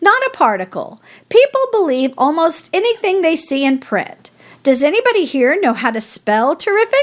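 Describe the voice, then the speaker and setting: A woman puts on a character voice, pitched extremely high and swinging very widely in pitch. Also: moderate pace. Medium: read story. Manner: crisp, authoritative.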